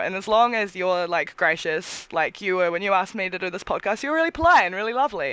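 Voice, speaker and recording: A woman talks at a very fast pace with very wide pitch swings and a New Zealand accent. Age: 20s. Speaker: cosplayer and tattoo model. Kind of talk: casual chat.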